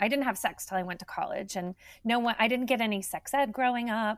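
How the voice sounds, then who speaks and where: A woman with an ordinary speaking voice talks at a fairly quick pace with ordinary pitch variation in a very clean recording with a silent background. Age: 50s. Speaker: nonprofit health organization executive. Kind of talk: interview.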